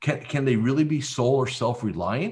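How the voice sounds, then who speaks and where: With an American accent, this man talks at a moderate pace in a normal speaking voice, with ordinary pitch variation against a quiet background. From central New Jersey. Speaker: business coach. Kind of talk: interview.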